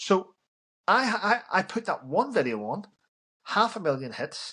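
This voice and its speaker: Bright and sharp in tone, a man with a Northern Irish accent speaks at a fairly slow pace. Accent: Northern Irish (Belfast). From Northern Ireland, Belfast. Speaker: army veteran. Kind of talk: casual interview chat.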